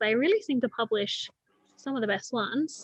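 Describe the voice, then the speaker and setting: A woman speaks in an Australian accent at a high pitch. The sound is dry and close, with no echo. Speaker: librarian. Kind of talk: online interview host.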